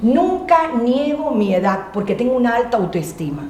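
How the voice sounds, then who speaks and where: A loud, high-pitched woman with a Cuban accent and an animated tone, her very wide pitch swings heard through audible room echo and noticeable background noise. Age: 60s. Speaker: motivational speaker. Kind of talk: interview.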